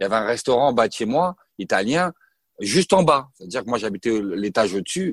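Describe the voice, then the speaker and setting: A man talks at a fairly quick pace with very wide pitch swings. The sound is dry and close with no echo, in a very clean recording with a silent background. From Paris region, France. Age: 30s. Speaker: former professional basketball player. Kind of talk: interview testimony. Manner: halting, many hesitations.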